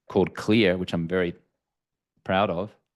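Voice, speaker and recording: Speaking very fast with an Australian accent, a man uses a very deep, low pitch. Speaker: entrepreneur and author, alcohol-free coach. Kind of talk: podcast interview.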